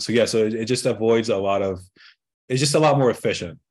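A man speaks at a medium pitch in an ordinary speaking voice. His pitch varies in an ordinary way. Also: quiet background. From Egypt, moved to US at 12. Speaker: marketing consultant. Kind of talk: interview.

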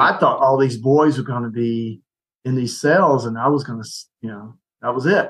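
A man with a normal speaking voice talks at a moderate pace. His intonation stays fairly even. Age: 60s. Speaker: ministry leader, retired soldier. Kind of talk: casual chat.

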